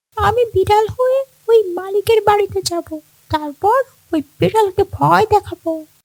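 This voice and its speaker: A cartoonish character voice at an extremely high pitch, delivered at a moderate pace. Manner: pleading, fearful.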